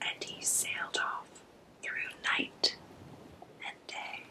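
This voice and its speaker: A whisper comes through with noticeable background noise. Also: woman. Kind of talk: ASMR book reading. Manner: whispered.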